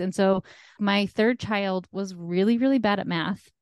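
Over a quiet background, a woman speaks in an unremarkable speaking voice at medium pitch with fairly even intonation. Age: 40s. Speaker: life coach. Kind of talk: interview.

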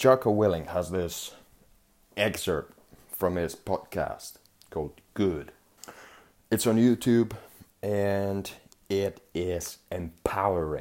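At a very slow pace and with long, frequent pauses, a man with a non-native accent talks in a fairly low pitch with ordinary pitch variation. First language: not English. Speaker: podcast host. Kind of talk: solo monologue podcast. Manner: animated.

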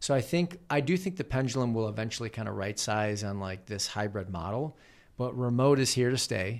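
Over a very clean recording with a silent background, a man talks at a fairly quick pace. He has a normal speaking voice, a medium pitch and lively intonation. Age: 40s. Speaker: author and keynote speaker. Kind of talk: casual chat.

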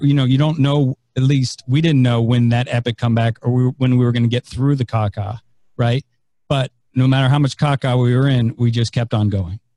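Dark and mellow in tone, a man's somewhat breathy voice at a medium pitch moves at a fairly quick pace with ordinary pitch variation, in a dry, close sound with no echo. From San Francisco, US West Coast. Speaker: author and investor. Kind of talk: podcast interview. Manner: halting, many fillers.

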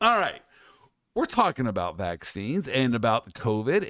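Over a very clean recording with a silent background, a man with an American accent sounds animated, his pitch swinging very widely. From US Midwest. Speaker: podcast host, lawyer. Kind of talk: casual chat.

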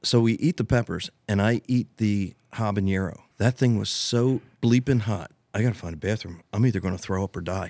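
A man with an American accent talks in a normal speaking voice at a fairly low pitch and moderate pace, with ordinary pitch variation and hardly any pauses, in a dry, close sound with no echo and a very clean recording against a silent background. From US Northeast, Delaware County, Pennsylvania. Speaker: rodeo arena owner. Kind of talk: casual chat.

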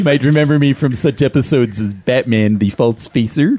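There is noticeable background noise as a man speaks. He moves along at a fairly quick pace. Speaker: podcast co-host. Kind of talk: casual chat.

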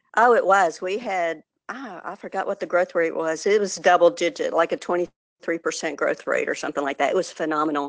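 A woman with a fairly low voice and a Texan accent. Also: ordinary pitch variation, fairly quick pace. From Texas. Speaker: economic development professional. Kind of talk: interview.

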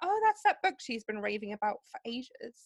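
Recorded with a dry, close sound and no echo, a woman speaks with a German accent. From Germany. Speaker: podcast co-host. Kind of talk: casual chat. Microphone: poor audio quality, before better microphones.

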